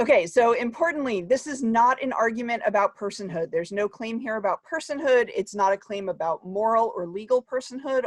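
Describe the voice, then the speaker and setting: In an American accent, a woman talks at a fairly quick pace and a fairly high pitch with lively intonation, in a dry, close sound with no echo against a quiet background. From US, New Jersey. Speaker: academic researcher. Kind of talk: conference talk. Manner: fast.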